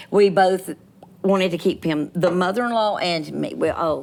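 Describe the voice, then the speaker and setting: A woman speaks at a moderate pace with a Southern US accent. The recording is very clean, with a silent background. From US South. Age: 60s. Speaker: comedian. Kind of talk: casual chat. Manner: animated.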